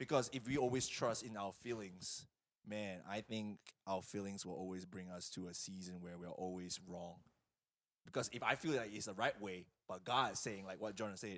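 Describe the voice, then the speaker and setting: With a non-native accent, a man talks at a moderate pace in an animated tone, his pitch fairly low with ordinary variation. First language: not English. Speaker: youth pastor. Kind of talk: casual chat.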